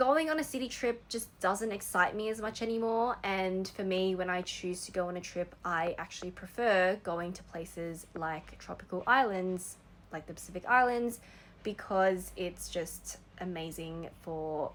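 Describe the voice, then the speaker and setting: Speaking with an Australian accent, a woman keeps a moderate pace. Her pitch is medium, with ordinary variation. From Australia, Sydney. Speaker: vlogger. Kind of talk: personal reflection monologue. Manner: casual, conversational with fillers.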